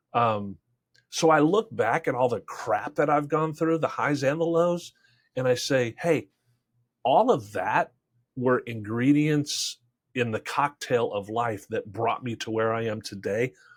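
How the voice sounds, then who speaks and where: A man speaks at a fairly slow pace with a medium pitch and lively intonation. He has a normal speaking voice. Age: 60s. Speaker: sales trainer and Marine veteran. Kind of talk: podcast interview.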